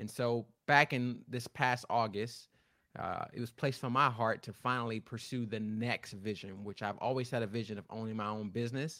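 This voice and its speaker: In an ordinary speaking voice, a man talks at a fairly quick pace and medium pitch with ordinary pitch variation, on a very clean recording with a silent background. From Florida. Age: 30s. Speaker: author and leadership coach. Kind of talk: interview. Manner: repeats words when speaking.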